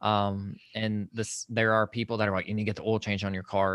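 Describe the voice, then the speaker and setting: A man with a Southern US accent speaks at a moderate pace and a fairly low pitch in a monotone, flat intonation, on a very clean recording with a silent background. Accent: Southern US (Georgia). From Georgia, US South (Social Circle, rural). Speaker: mental health and faith podcaster. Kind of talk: casual interview.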